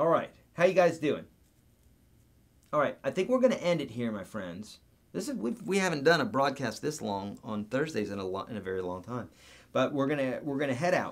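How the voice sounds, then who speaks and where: At a fairly quick pace, a man with an animated tone and vocal fry speaks in a fairly high pitch, swinging very widely and taking long, frequent pauses. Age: 40s. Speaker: guitar teacher. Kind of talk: live stream Q&A. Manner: halting.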